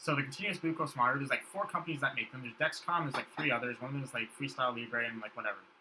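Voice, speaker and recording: A man's medium-pitched voice at a very fast pace, hardly any pauses, ordinary pitch variation, and noticeable background noise. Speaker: podcast guest. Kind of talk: casual chat.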